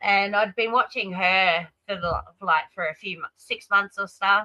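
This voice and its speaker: A woman's pitch varies in an ordinary way as she talks at a fairly slow pace. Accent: Australian. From Australia. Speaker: live streamer. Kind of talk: casual chat. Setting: live stream.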